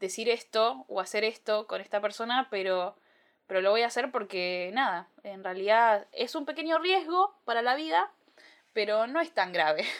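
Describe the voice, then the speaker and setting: A woman with an unremarkable speaking voice, a fairly high pitch and a moderate pace. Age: 20s. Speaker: podcast host. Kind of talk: solo podcast monologue. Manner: casual with frequent fillers.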